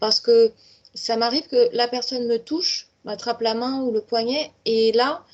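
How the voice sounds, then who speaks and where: A woman with a high pitch. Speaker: medium. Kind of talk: interview. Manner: hesitant, many repetitions.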